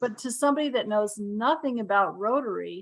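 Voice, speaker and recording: A woman in an ordinary speaking voice, fairly high in pitch and fairly quick, with ordinary pitch variation. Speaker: Rotary membership presenter. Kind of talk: presentation in online meeting.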